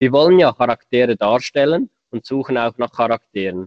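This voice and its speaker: This man speaks with a Swiss German accent at a moderate pace. His pitch is medium, with ordinary pitch variation. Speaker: podcast co-host, bicycle company employee. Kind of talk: casual chat.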